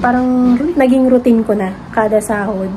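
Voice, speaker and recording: Against noticeable background noise, a soft-spoken woman talks with fairly even intonation. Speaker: vlogger. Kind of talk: casual vlog chat.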